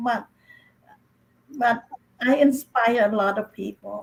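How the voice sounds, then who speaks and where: A woman speaks with a Cambodian accent. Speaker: author, speaker and coach. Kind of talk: panel discussion. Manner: halting, repeats words.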